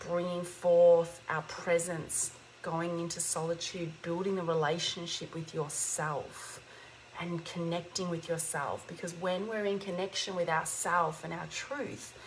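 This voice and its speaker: A woman speaks at a fairly slow pace in a fairly low pitch. Her recording has audible room echo and noticeable background noise. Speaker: spiritual teacher livestreamer. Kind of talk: inspirational livestream talk. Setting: livestream.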